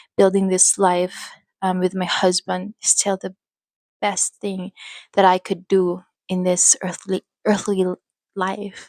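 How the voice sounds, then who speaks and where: At a very slow pace with long, frequent pauses, a woman with a Filipino accent speaks at a medium pitch in a monotone, flat intonation, the sound dry and close with no echo. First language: Filipino language. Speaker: faith vlogger and mother. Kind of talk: personal testimony. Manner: halting. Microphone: new microphone.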